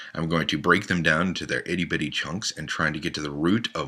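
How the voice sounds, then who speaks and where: A man talks at a very deep, low pitch with vocal fry. The recording is very clean, with a silent background. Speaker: podcast host. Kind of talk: self-introduction monologue.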